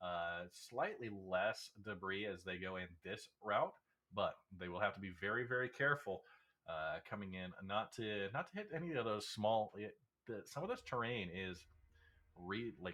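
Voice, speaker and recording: With an unremarkable speaking voice, a man talks at a moderate pace using a fairly low pitch and ordinary pitch variation. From United States. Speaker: race commentator. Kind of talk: live commentary.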